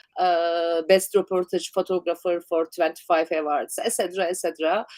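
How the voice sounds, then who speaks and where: In a Turkish accent, a woman with a fairly low voice speaks at a moderate pace, with a dry, close sound and no echo. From Turkey. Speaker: documentary photographer. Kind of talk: interview. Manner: halting.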